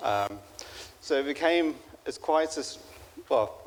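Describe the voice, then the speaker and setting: This man talks fairly slowly. He has a British accent. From UK. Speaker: father of the groom. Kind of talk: wedding speech. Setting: wedding reception. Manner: halting, many fillers.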